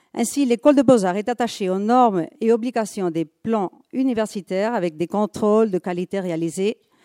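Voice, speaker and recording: At a moderate pace, a woman with a medium pitch and a dark, mellow tone speaks with ordinary pitch variation, in a dry, close sound with no echo and a very clean recording with a silent background. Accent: Spanish. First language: Spanish (speaking French). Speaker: museum conservator. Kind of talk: conference talk.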